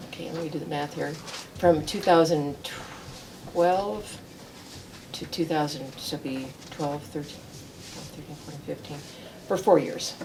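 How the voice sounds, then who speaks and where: A woman's very deep, low voice with an American accent, at a moderate pace with long, frequent pauses and ordinary pitch variation, amid audible room echo and noticeable background noise. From US East Coast and Midwest. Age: 70s. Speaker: local politician. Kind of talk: interview.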